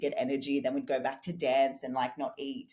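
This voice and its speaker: A woman with an Australian accent, very deep and low in pitch, at a fairly quick pace. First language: German and Portuguese. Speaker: fitness and business coach. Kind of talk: podcast interview.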